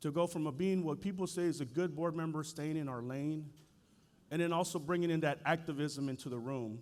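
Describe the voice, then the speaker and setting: Audible room echo surrounds a man's voice. He speaks at a fairly quick pace and a fairly high pitch. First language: Spanish. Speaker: school board chair. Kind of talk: keynote speech. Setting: stage with audience. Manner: animated.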